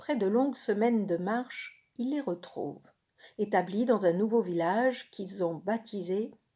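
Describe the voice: Read aloud plainly with ordinary pitch variation over a quiet background.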